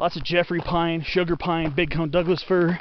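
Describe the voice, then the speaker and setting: The speech is fairly slow, with a dry sound with no echo and light background noise. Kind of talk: casual walking narration. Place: forest. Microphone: phone near.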